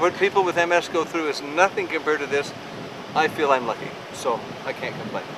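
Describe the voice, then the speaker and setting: A high-pitched man with ordinary pitch variation over noticeable background noise. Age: 50s. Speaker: expedition member. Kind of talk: casual chat.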